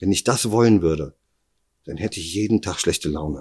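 A man's very deep, low pitch with vocal fry, lively intonation and a moderate pace. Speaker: kidnapping survivor. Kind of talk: interview testimony. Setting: at his home.

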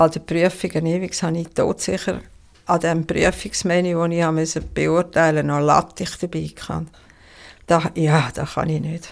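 This woman talks at a moderate pace with a fairly low pitch and monotone, flat intonation. The recording is very clean, with a silent background. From Switzerland, Toggenburg (St. Gallen). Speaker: chef. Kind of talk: casual interview. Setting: living room with dinner guests.

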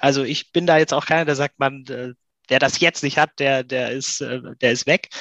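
Against a quiet background, a man with a normal speaking voice and fairly high pitch speaks at a fairly slow pace, the sound dry and close with no echo. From Swabia, near Stuttgart. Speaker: voice app entrepreneur. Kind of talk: interview.

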